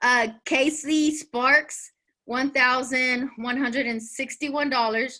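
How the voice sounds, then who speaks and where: A woman with a high pitch and a bright, sharp tone speaks at a very slow pace in a raised, projected voice with monotone, flat intonation. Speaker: direct sales team leader. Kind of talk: team training call. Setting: video call. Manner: stumbling over words.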